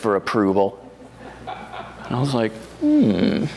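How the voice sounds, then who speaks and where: Noticeable background noise accompanies a man who talks with an American accent. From US Northeast. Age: 60s. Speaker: wine writer and home winemaker. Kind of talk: oral history interview. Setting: library. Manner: halting, many fillers.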